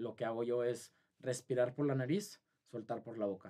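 A man's dark, mellow tone with ordinary pitch variation over a quiet background. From Saltillo, Mexico; Mexico. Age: 20s. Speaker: marathon runner; podcast guest. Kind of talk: interview; interview answer. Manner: halting. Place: studio. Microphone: studio mic.

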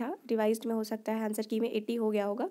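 A woman with a high pitch and a dark, mellow tone is heard on a very clean recording with a silent background. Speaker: YouTuber, exam aspirant. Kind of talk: casual vlog. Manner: conversational.

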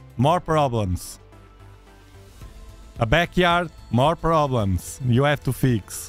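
At a very slow pace, a man speaks in a dry sound with no echo while faint music plays in the background. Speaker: astronomy livestream host. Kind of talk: casual livestream chat. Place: studio. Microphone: studio mic.

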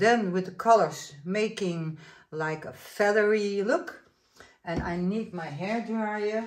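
A woman with a Dutch accent speaks at a very slow pace. Her loudness swings widely, and room echo is audible. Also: medium pitch for a woman, ordinary pitch variation. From Netherlands. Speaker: acrylic pour artist. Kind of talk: tutorial. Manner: casual, hesitant.

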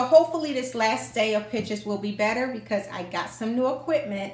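The speech moves at a fairly quick pace with ordinary pitch variation, and room echo is audible. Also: woman. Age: 50s. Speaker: fashion YouTuber with an office job. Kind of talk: vlog, showing outfits to camera. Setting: home, spare bedroom turned closet. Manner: casual, chatty. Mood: upbeat, friendly.

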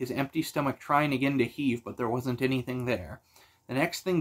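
Natural-voiced reading aloud, intonation fairly even throughout.

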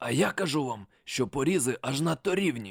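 A raspy, put-on character voice at a moderate pace. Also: man. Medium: read story. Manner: gruff, confrontational.

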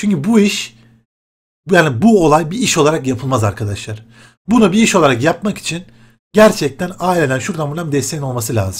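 The pitch swings very widely. The pace is fairly quick. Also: man. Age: 20s. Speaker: gaming YouTuber; gaming youtuber. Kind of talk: casual vlog talk to viewers. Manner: animated, conversational. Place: home room. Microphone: webcam.

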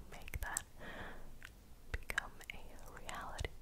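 The pace here is fairly slow. The speaker is a woman. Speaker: ASMR creator. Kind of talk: ASMR close-up whispering. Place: home room. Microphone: studio mic.

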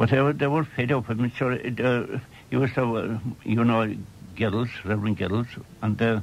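A man with a Cork accent, medium pitch, ordinary pitch variation and a moderate pace, over light background noise. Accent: Irish, County Cork. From Ireland. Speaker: storyteller. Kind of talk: radio interview reminiscence. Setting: radio broadcast recorded off air. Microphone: old recording.

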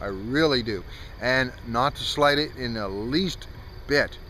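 Recorded dry with no echo over light background noise, a man speaks with ordinary pitch variation. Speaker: vlogger. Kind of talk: casual vlog chat. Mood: wistful, reflective, light laughs. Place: open country. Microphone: phone near.

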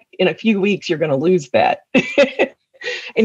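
The voice carries a Tennessee accent, recorded with a dry, close sound and no echo. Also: woman. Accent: Southern US (Tennessee). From West Tennessee, US South. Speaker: attorney and community service leader. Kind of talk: interview.

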